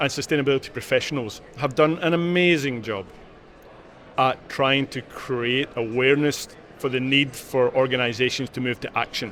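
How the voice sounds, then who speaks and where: The speaker has a Glaswegian accent. The intonation stays fairly even. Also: man, medium pitch for a man, moderate pace. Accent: Glaswegian Scottish. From Scotland, Glasgow. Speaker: corporate sustainability leader. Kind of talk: interview.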